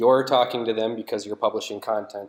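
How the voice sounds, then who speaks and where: Flat and monotone in intonation, a man with an American accent speaks at a medium pitch. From United States. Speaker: partner account manager presenting at a conference. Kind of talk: conference presentation. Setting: stage with audience. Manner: frequent filler words (uh, um).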